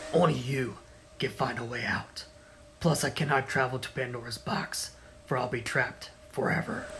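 A moderate pace with fairly even intonation, long, frequent pauses and clear background noise. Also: man, medium pitch for a man. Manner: calm, mysterious, apologetic.

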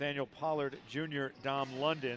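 A man's voice sounds dry with no echo, with faint music in the background. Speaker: play-by-play announcer. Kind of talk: sports commentary. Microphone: headset.

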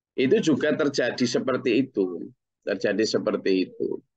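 Over a quiet background, a man speaks at a fairly slow pace. His voice has vocal fry and very wide pitch swings. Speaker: Islamic teacher. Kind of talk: religious study lecture. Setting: group study session. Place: home room. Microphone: webcam.

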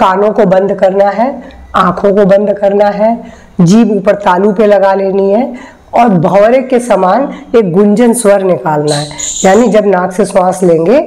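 A very slow pace with ordinary pitch variation. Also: woman. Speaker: yoga teacher. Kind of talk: tutorial. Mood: calm, gentle. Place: home room.

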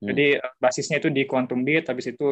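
A man speaks at medium pitch with ordinary pitch variation. The background is quiet. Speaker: physics student. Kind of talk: asking questions. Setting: video call. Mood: polite, tentative. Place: home room. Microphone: video call.

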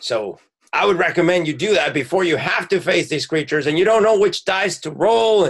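This is a man doing a put-on character voice. He pitches it high. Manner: earnest, gruff, promotional.

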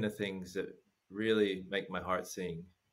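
Moderate pace, with an American accent. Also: man. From United States. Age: 50s. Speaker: former massage therapist, travel guest; guest. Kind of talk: casual chat. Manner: laughs often. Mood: reflective, sincere. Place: home room. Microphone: earbuds.

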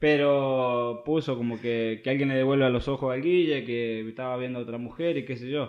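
Against a quiet background, a man with a medium pitch talks at a moderate pace with fairly even intonation and hardly any pauses. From Argentina, small town in Córdoba. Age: 20s. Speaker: professional footballer; podcast guest. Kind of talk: casual interview. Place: home room.

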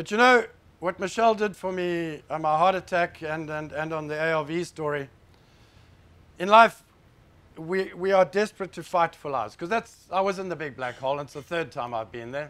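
The man speaks in a high pitch with ordinary pitch variation. His pace is moderate. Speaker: conference speaker. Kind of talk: personal talk to an audience. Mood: serious, emotional story. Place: hall.

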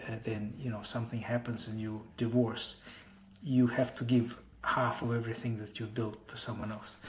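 Light background noise accompanies a man whose somewhat breathy voice has fairly even intonation. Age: 40s. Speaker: tech entrepreneur. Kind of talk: interview. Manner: halting, many fillers. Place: home room. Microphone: earbuds.

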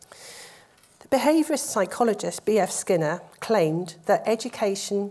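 A woman is speaking. Her voice has a dark, mellow tone. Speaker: professor giving lecture. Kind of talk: lecture. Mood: warm, grateful. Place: hall. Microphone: lapel.

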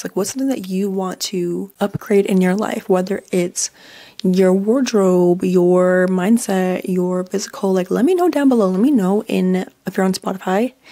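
A woman speaks at medium pitch with a dark, mellow tone and ordinary pitch variation. Her pace is moderate, and the background is quiet. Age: 20s. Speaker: podcast host. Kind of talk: casual chat. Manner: animated. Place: home room. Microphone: studio mic.

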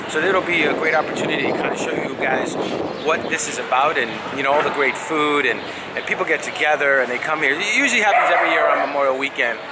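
A man talking at a very fast pace with ordinary pitch variation, over loud background noise. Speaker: vlogger. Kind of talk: casual vlog chat. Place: street. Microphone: phone near.

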